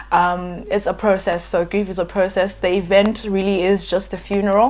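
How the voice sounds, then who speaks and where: Speaking with a South African accent, a woman holds a medium pitch in a monotone, flat intonation. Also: moderate pace. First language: Ndebele. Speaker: YouTuber. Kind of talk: casual vlog talk. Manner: hesitant, many fillers.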